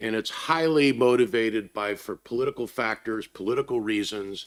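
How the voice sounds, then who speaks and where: At a moderate pace, a man with an American accent and a plain, everyday voice speaks in a medium pitch on a very clean recording with a silent background. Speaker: conference panelist on ESG investing. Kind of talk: panel discussion remarks.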